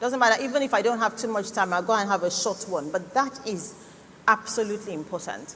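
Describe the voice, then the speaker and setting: With noticeable background noise, a woman speaks at a moderate pace in a fairly high pitch with ordinary pitch variation. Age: 60s. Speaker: cancer doctor. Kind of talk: health talk at church conference.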